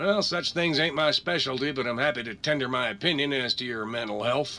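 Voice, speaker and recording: Putting on a character voice, a man talks at a moderate pace in a raspy, fairly high pitch. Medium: video game. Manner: folksy, drawling, friendly.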